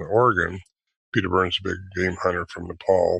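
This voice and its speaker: In an American accent, a man speaks at a fairly quick pace with a very deep, low pitch. His tone is bright and sharp, and the background is quiet. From United States. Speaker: Bigfoot researcher and author. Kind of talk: interview.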